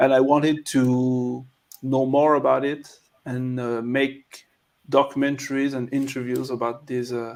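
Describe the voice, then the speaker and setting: With a French accent, a man speaks slowly-ish at a fairly slow pace, medium in pitch and monotone and flat in intonation. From France. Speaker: documentary filmmaker. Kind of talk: interview. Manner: halting.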